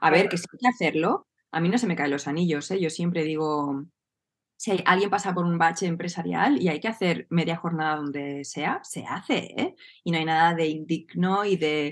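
Here is a woman with a fairly low pitch, ordinary pitch variation and an unremarkable speaking voice. She talks at a moderate pace with a quiet background. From Spain, Barcelona. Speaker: entrepreneur and business coach. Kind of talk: casual interview chat.

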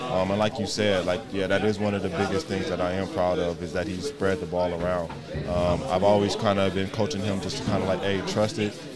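Speaking at a fairly quick pace with ordinary pitch variation, a man of fairly low pitch is heard with audible room echo and noticeable background noise. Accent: American. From California. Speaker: American football coach. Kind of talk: post-game interview.

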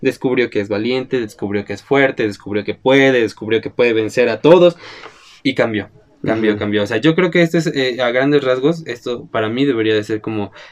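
This man has a plain, everyday voice at a medium pitch. He talks fairly quickly with ordinary pitch variation. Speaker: film podcast host. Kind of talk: casual chat.

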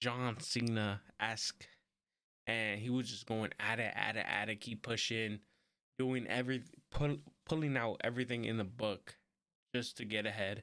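A man talks quietly at a moderate pace, with long, frequent pauses and fairly even intonation. His tone is bright and sharp, and the recording is very clean with a silent background. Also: medium pitch for a man. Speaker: wrestling podcast host. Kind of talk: solo podcast review. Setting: home recording with camera and mic. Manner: quiet, subdued; casual, rambling.

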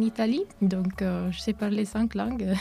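At a moderate pace, a woman talks in a dark, mellow tone that is somewhat breathy. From Italy. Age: 20s. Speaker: university student, association president. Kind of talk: radio interview. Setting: studio. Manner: hesitant, many fillers.

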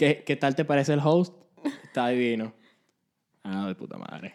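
At a fairly slow pace, a man with a medium pitch and ordinary pitch variation speaks with long, frequent pauses and big swings in loudness. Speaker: podcast co-host. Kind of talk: casual chat. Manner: animated.

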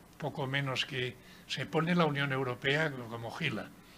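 A man speaks at a very slow pace with a medium pitch. His intonation stays fairly even. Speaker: author and former mayor. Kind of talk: book presentation talk.

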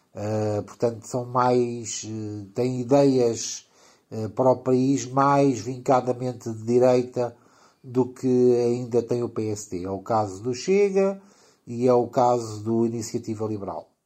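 Against a quiet background, the voice has a dark, mellow tone, moves at a very slow pace and varies its pitch in an ordinary way. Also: man, medium pitch for a man. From Portugal. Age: 50s. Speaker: teacher of electricity and electronics. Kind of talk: explanatory casual chat. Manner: halting, with fillers.

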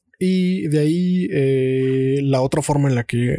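The man's voice sits at a medium pitch. Its tone is dark and mellow. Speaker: podcast host. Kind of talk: casual chat.

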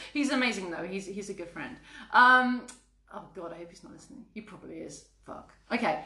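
A woman speaks at a fairly quick pace with lively intonation and big swings in loudness, with audible room echo around her. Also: medium pitch for a woman. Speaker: podcast co-host. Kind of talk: casual chat.

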